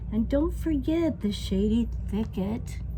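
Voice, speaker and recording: A rumbling put-on character voice speaks at a very slow pace. Loud background noise is present. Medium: read story. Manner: worried, grumbling.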